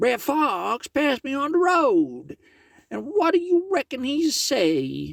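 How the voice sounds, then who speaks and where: The put-on character voice is high-pitched and moves at a fairly slow pace. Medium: read story. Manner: folksy, polite.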